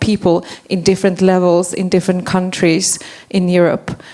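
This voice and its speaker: A woman at medium pitch and moderate pace, over noticeable background noise. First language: not English. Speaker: forest policy advocate. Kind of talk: panel discussion.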